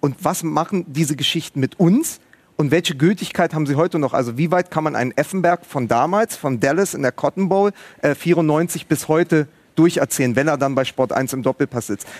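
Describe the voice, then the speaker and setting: In a plain, everyday voice, a man with a fairly high pitch talks at a fairly quick pace with ordinary pitch variation, the sound dry and close with no echo. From Berlin, Germany. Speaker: writer and podcaster. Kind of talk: live TV talk show discussion. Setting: studio at a live event.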